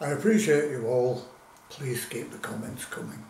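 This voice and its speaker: The speaker is a man. Audible room echo and light background noise are present. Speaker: food reviewer. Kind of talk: casual vlog chat. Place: kitchen. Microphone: camera far.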